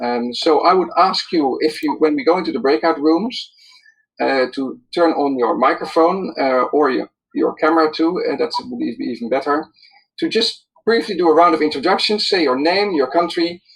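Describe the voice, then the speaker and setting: His intonation rises and falls in a lively way. The man's voice sits high, and he keeps a moderate pace. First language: not English. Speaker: webinar moderator. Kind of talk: online webinar moderation. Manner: hesitant, many fillers.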